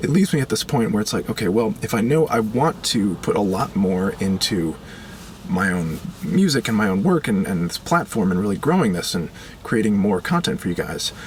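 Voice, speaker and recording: A man talks at a moderate pace, his pitch swinging very widely over noticeable background noise. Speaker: musician and video creator. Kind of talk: personal video update. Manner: casual, hesitant with fillers.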